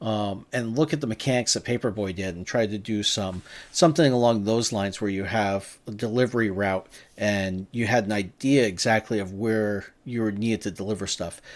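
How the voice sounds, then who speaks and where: A man speaks at a moderate pace with a strong New England accent and fairly low pitch. His pitch varies ordinarily, and the recording is very clean with a silent background. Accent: thick New England. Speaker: game developer reviewing game jam entries. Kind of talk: live stream game review commentary. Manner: casual, hesitant with fillers.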